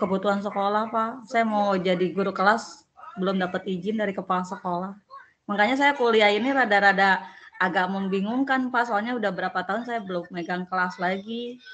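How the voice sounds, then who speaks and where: With noticeable background noise, a woman of medium pitch talks at a fairly quick pace with fairly even intonation. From Tangerang, Indonesia. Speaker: university student, school operator. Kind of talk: online tutorial discussion.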